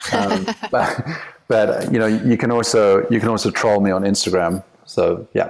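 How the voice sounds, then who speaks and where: A man with an American accent talks at a moderate pace and fairly low pitch, with fairly even intonation and very even loudness. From South Africa. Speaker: company CEO and author. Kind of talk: podcast interview. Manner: casual, hesitant with fillers.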